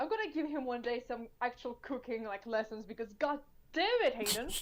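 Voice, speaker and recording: This woman talks at a fairly quick pace in a high voice with ordinary pitch variation. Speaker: podcast co-host. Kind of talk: casual chat.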